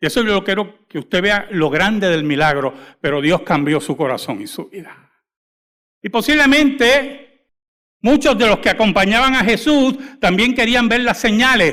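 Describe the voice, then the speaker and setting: A man projects a raised voice, high for a man and bright and sharp in tone, swinging very widely in pitch at a moderate pace in a very clean recording with a silent background. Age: 60s. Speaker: pastor. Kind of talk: sermon. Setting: church.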